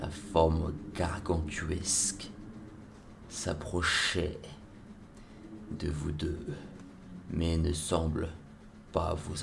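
A very slow, monotone, flat delivery from a man with a very deep, low pitch. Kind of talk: ASMR roleplay adventure narration.

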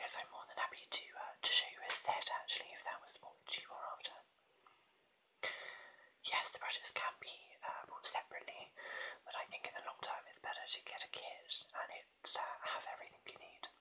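A man is whispering. He goes at a fairly quick clip. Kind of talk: product demo chat, answering viewer questions. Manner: soft, close ASMR murmur. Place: home room. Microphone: webcam.

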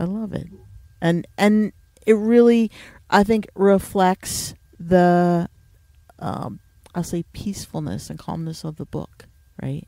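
Very slow and marked by long, frequent pauses, a woman speaks with a northeastern American accent in a dark, mellow tone. Her fairly low pitch shows ordinary pitch variation, with big swings in loudness. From US Northeast. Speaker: podcast host. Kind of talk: casual interview.

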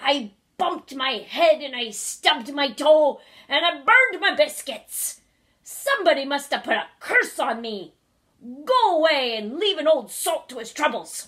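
A raspy, high-pitched put-on character voice from a woman. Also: moderate pace. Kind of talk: storybook read-aloud. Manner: groaning, complaining.

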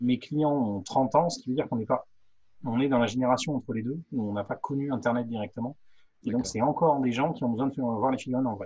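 Against a quiet background, a man talks very fast at a medium pitch. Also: ordinary pitch variation. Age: 40s. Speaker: professional miniature painter. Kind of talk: casual chat. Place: workshop. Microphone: studio mic.

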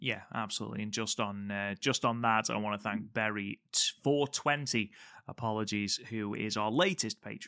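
In an English accent, a man speaks at a moderate pace with a bright, sharp tone, fairly low pitch and fairly even intonation. The sound is dry and close with no echo, on a very clean recording with a silent background. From England. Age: 30s. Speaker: wrestling podcast host. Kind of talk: casual podcast chat and wrestling review.

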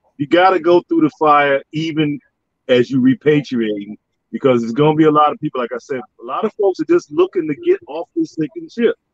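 A man at a fairly quick pace, dry sound with no echo, quiet background. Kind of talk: casual chat. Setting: video call. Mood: earnest, encouraging. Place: home room. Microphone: video call.

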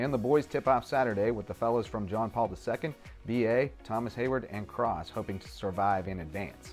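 Medium pitch from a man at a fairly quick pace, ordinary pitch variation, and music in the background. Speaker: sports reporter. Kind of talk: local TV sports news read.

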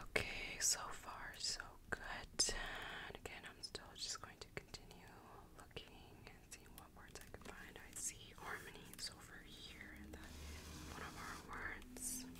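Relaxed whispering at a fairly slow pace, over noticeable background noise. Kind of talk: ASMR word search, relaxed talk to camera. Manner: whispered; soft-spoken, relaxed.

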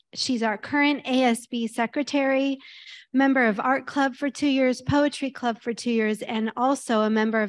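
The woman's pitch is high, with fairly even intonation and very even loudness. She keeps a moderate pace. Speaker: high school principal. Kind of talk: formal introduction read aloud. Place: hall.

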